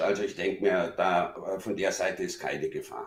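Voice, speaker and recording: With a normal speaking voice, a man talks at a moderate pace using lively intonation. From Munich, Bavaria. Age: middle-aged. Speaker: friend of the host. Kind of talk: casual chat.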